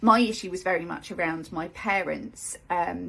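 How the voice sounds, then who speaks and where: A woman speaks with vocal fry. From Derbyshire, England. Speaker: life coach. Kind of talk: live video talk. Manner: hesitant, many ums.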